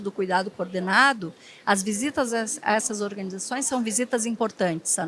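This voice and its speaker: This voice carries a southern Brazilian accent. The pace is moderate. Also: woman. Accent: gaúcho (southern Brazilian). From southern Brazil (Rio Grande do Sul). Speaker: hospital HR and development executive. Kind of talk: panel discussion.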